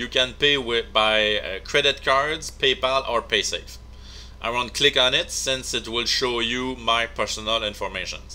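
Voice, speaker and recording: Over noticeable background noise, a man with a non-native accent talks at a fairly slow pace. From Quebec, Canada. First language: French. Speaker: video game tutorial maker. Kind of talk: game tutorial narration.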